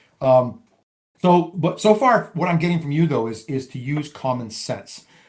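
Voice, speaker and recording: A man's somewhat breathy voice, fairly high in pitch, with lively intonation. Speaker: podcast host. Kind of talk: interview. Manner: fast.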